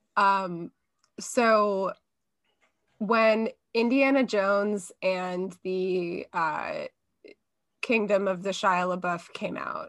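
A woman at a very slow pace, with long, frequent pauses, fairly even intonation and a quiet background. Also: medium pitch for a woman. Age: 30s. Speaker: podcast guest, comedy writer. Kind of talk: casual chat.

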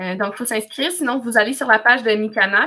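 A woman's fairly high, bright, sharp voice with ordinary pitch variation. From Quebec, Wolastoqey community near Cacouna. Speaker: language student and cultural facilitator. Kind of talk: casual interview.

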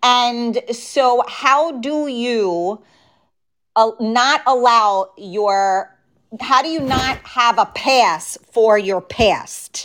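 A woman's high voice at a very slow pace. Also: ordinary pitch variation. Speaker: podcast host. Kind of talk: casual conversational interview. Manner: hesitant, many fillers.

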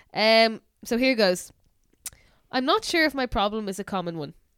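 A woman talks at a fairly quick pace with an Irish accent. Her fairly high pitch moves in very wide swings. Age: 20s. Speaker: podcast co-host. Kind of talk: casual chat.

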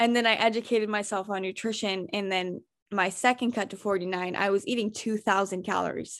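In a very clean recording with a silent background, a woman with a normal speaking voice talks fairly quickly at a medium pitch with fairly even intonation. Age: 20s. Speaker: weightlifter. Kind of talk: casual chat.

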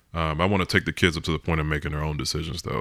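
A man speaks in a very deep, low pitch with a bright, sharp tone and vocal fry. The recording is very clean, with a silent background. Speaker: parent. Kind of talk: casual chat.

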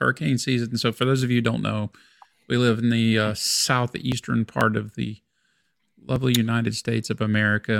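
In a very clean recording with a silent background and a dry, close sound with no echo, a man with a plain, everyday voice speaks at medium pitch and a moderate pace. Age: 50s. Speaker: podcast co-host. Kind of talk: casual chat. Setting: home studio.

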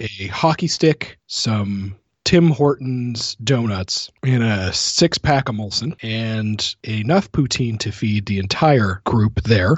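Speaking at a very slow pace with hardly any pauses, a man uses lively intonation in a somewhat breathy voice. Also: medium pitch for a man. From rural Canada. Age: 30s. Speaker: podcast host. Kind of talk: casual chat.

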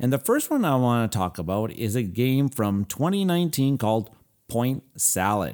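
With an unremarkable speaking voice, a man of medium pitch talks at a moderate pace with lively intonation and very even loudness, on a very clean recording with a silent background. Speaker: board game podcaster. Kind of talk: casual podcast segment about games.

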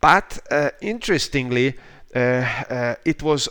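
The recording is very clean with a silent background. A man with a Hungarian accent talks at a fairly slow pace. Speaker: professor of political science and philosophy. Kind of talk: interview. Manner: halting. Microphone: questionable connection.

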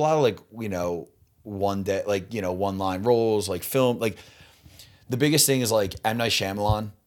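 At a moderate pace, the speaker has an animated tone and an American accent, captured on a very clean recording with a silent background. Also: man. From Philadelphia area, US. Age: 30s. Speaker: stand-up comedian. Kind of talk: casual podcast chat. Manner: animated, casual, swears often.

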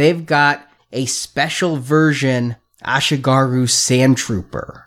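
A man's mumbling, put-on character voice at a medium pitch, fairly slow in pace with fairly even intonation, in a very clean recording with a silent background. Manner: mumbled, as if mouth full of marbles.

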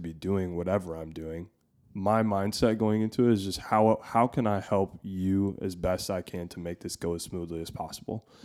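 Recorded very cleanly against a silent background, a man speaks in a normal speaking voice at a fairly low pitch, with fairly even intonation and a moderate pace. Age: 20s. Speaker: landscaper and photography assistant. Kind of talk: casual chat.

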